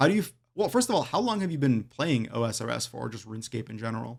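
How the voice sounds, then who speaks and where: A man with a medium pitch talks with lively intonation and hardly any pauses. His loudness swings widely. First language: not English. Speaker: podcast host. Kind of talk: podcast interview.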